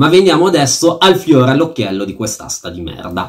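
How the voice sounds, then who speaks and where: A man's voice ranges very widely in pitch, and the background stays quiet. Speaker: fantasy football YouTuber. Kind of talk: angry rant about a fantasy football auction, venting with swearing and sarcasm. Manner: fuming and indignant, sarcastic, stressing words with fury. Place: home room. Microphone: phone near.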